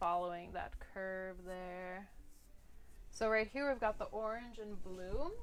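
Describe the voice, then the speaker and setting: A woman with an American accent, a normal speaking voice, medium pitch, ordinary pitch variation and a fairly slow pace. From Philadelphia, US. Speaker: art instructor. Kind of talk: tutorial. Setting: live stream. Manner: casual, filler-heavy.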